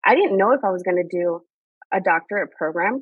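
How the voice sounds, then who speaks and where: A woman speaks with a Spanish accent. Her pitch sits at a medium level. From Mexican border region, Mexicali, Baja California. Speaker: higher education leader. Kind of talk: podcast interview.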